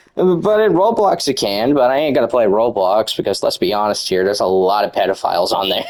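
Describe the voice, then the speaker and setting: A man speaks at a fairly quick pace with hardly any pauses and very even loudness. Noticeable background noise runs underneath. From United States. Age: young. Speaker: gaming youtuber. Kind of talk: rant. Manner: fast.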